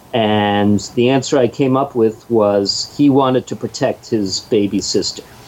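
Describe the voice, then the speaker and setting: Noticeable background noise sits behind a man speaking at a fairly slow pace. He keeps a fairly even intonation and hardly any pauses. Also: medium pitch for a man. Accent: American. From Pittsburgh, US. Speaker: comic book author and sound engineer. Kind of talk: interview.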